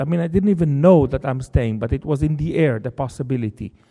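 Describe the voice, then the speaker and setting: A man's dark, mellow tone with lively intonation, in an Israeli accent. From Israel, Jerusalem. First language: Hebrew. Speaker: novelist. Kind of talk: lecture. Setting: stage with audience.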